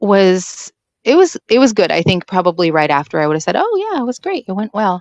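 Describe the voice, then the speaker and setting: A woman's medium-pitched voice with lively intonation, a moderate pace, and a dry, close sound with no echo. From Washington State. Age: 30s. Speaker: homeschooling mother of six. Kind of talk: personal birth story interview.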